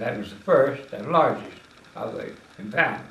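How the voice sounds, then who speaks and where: A man speaks at a moderate pace with a Tennessee accent. The room echo is audible. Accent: Southern US (Tennessee). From US South, west Tennessee. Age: 80s+. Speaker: retired politician. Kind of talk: interview.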